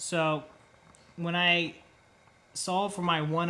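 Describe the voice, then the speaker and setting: A man speaks in a bright, sharp tone, with audible echo from the room. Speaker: engineering lecturer. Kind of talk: lecture. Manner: slow.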